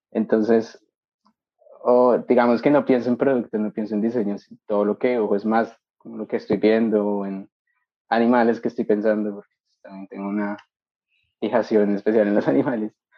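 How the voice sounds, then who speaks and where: Fairly low-pitched male speech at a fairly quick pace, fairly even in intonation, with big swings in loudness and long, frequent pauses. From Colombia, Bogotá. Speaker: industrial designer, master's student. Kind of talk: interview conversation.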